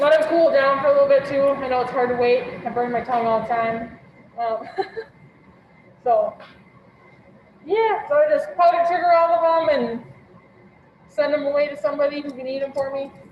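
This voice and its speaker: A woman speaks at a high pitch with ordinary pitch variation and long, frequent pauses. Noticeable background noise is present. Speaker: cooking class instructor. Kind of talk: online cooking class demonstration. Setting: video call class from a kitchen. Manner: casual, hesitant with fillers. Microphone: mic may be muffled by mask.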